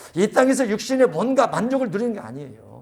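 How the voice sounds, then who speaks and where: Very fast and extremely high in pitch, a man talks with ordinary pitch variation. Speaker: pastor. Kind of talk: sermon.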